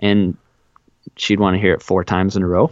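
A plain, everyday voice with an American accent. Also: man. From Wisconsin, south central. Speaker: podcast co-host. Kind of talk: casual chat.

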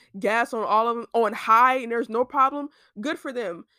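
Her bright, sharp tone sits at a fairly high pitch for a woman, with ordinary pitch variation and a dry, close sound with no echo. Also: very clean recording, silent background. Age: 20s. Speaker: student podcaster. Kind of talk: casual solo chat. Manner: chatty, filler-heavy. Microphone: laptop mic.

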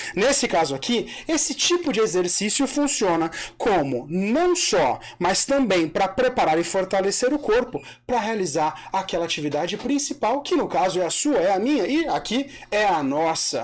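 Very even loudness from a high-pitched man, his pitch swinging very widely at a moderate pace, over noticeable background noise. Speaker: podcast host. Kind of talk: casual chat. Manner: joking, animated.

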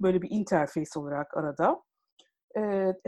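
A woman's dark, mellow tone with very wide pitch swings. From Istanbul, Turkey. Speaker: e-commerce professional, agile coach. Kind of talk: interview.

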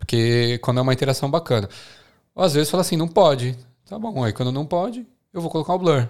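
A man talks very fast with lively intonation on a very clean recording with a silent background. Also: fairly high pitch for a man. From Brazil, São Paulo. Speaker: podcast host. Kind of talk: casual chat.

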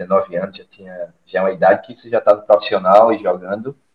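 At a fairly quick pace, a man talks in an ordinary speaking voice. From Alagoas, Brazil (Maceió). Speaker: former footballer and fitness coach. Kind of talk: casual interview.

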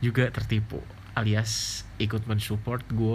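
Audible room echo surrounds a man's relaxed, medium-pitched voice, which has vocal fry and a fairly slow pace. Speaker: podcaster and YouTuber. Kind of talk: casual monologue. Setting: bedroom in boarding house at night. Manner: relaxed, lying down late at night.

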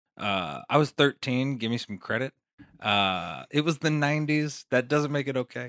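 A man with an American accent and an unremarkable speaking voice talks at a medium pitch with ordinary pitch variation and a moderate pace. The recording is very clean, with a silent background and a dry, close sound with no echo. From Las Vegas, Nevada. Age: 20s. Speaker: comedian and rapper. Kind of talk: casual chat.

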